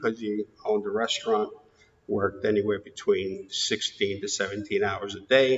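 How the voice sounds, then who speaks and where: With a New York accent, a man speaks at a moderate pace in a fairly low pitch. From New York, Queens. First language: Greek. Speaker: interviewee in oral history. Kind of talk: oral history interview.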